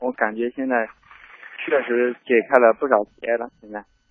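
A man speaks at a medium pitch. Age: 20s. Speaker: caller, factory worker. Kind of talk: phone call-in advice chat. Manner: halting.

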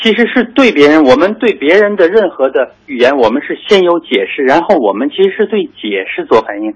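The voice moves at a fairly quick pace with hardly any pauses. Its pitch swings are very wide. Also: man, high pitch for a man. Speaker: psychologist. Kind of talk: expert interview. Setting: phone call. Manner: hesitant, many fillers.

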